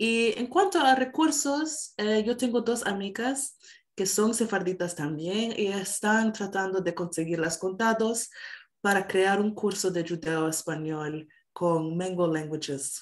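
A woman talks very slowly and with lively intonation, the background quiet. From Canada. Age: 20s. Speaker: singer and musician; interview guest. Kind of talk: interview. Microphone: video call.

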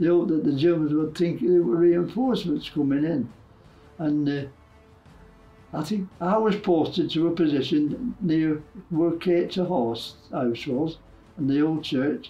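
A man with a fairly high pitch speaks at a fairly slow pace with ordinary pitch variation. Faint music plays in the background. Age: 80s+. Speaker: war veteran. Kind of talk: interview answer. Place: home room.

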